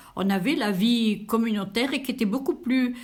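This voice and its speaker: A somewhat breathy woman's voice with ordinary pitch variation and audible room echo. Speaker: elderly interviewee. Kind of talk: interview. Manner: hesitant, many fillers.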